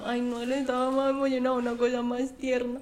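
Her voice is high-pitched, with audible room echo and noticeable background noise around the woman as she talks. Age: 20s. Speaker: podcast co-host. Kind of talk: casual chat.

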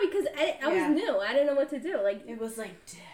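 A woman's voice over noticeable background noise. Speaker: podcast co-host. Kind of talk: casual chat.

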